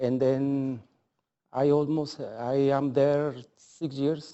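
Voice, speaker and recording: A man with a non-native accent talks in a fairly high voice. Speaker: small business owner. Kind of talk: public hearing testimony. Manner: halting.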